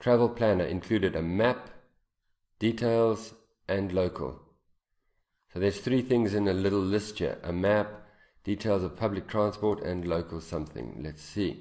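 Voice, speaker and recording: Dark, mellow tone at a moderate pace, broken by long, frequent pauses. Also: man, fairly low pitch for a man, ordinary pitch variation. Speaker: English teacher. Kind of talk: lecture.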